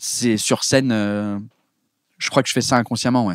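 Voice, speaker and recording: A man speaks at a moderate pace with a medium pitch and fairly even intonation, in a dry, close sound with no echo on a very clean recording with a silent background. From England. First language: English (speaking French). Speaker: comedian. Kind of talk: casual chat. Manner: halting.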